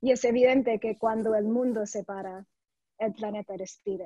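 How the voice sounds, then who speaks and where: Using a non-native accent, a woman speaks at a fairly high pitch in a monotone, flat intonation with a dark, mellow tone and a dry, close sound with no echo. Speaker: conservation investment director. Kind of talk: panel presentation. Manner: somewhat halting.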